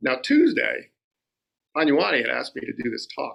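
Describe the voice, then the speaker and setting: This man has an American accent. He speaks at a moderate pace. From Rhode Island, US. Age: 60s. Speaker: lay Buddhist dharma speaker. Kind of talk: dharma talk. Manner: conversational, repetitive fillers.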